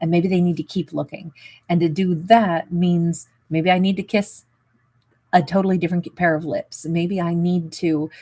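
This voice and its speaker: Dark, mellow, somewhat breathy voice in a flat monotone, very cleanly recorded against a silent background. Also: woman. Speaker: tarot reader. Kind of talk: tarot reading. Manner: casual, hesitant with fillers.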